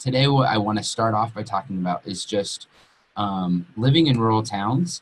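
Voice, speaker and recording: In an American accent, a somewhat breathy voice speaks. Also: man. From Colorado, Western Slope (Grand Junction); Colorado. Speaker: entrepreneur, co-working space owner; webinar presenter. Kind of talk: webinar presentation. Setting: online webinar. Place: home room. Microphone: webcam.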